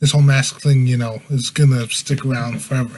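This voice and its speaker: The intonation is monotone and flat. A man speaks in a medium pitch. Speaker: podcast host. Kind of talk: casual podcast monologue. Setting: live stream at home.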